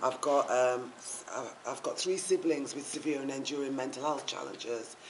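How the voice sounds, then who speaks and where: A voice in a Yorkshire accent, with noticeable background noise and audible room echo. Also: woman. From Yorkshire, northern England. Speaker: mental health campaigner. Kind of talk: public talk.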